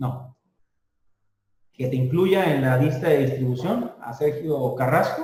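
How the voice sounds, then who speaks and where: The speech is very slow, with long, frequent pauses. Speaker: customs trade lecturer. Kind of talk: lecture. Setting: video call.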